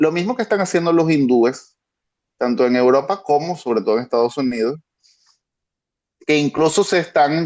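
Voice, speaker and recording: In a dry, close sound with no echo and a quiet background, a man with a Venezuelan accent speaks at a moderate pace with ordinary pitch variation. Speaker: international security expert. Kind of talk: panel discussion.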